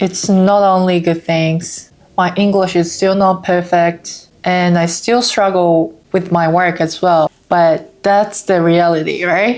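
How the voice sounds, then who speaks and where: A woman with a Japanese accent, fairly low in pitch, at a very slow pace with hardly any pauses, very even loudness and fairly even intonation. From Japan, Osaka. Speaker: vlogger. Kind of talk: casual vlog talk.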